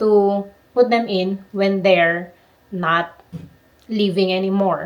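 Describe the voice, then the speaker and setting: A woman's voice at a medium pitch. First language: not English. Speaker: book vlogger. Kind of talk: casual book review vlog. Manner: halting, self-correcting.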